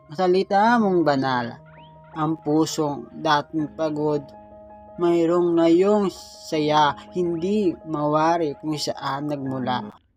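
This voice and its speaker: Music sits in the background. The delivery is very slow. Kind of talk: spoken-word poetry. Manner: emotional, heartfelt.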